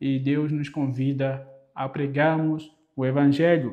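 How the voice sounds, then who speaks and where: A man speaks with a Mozambican accent, and some room echo can be heard. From Mozambique. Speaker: preacher. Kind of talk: sermon. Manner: halting, frequent repetitions.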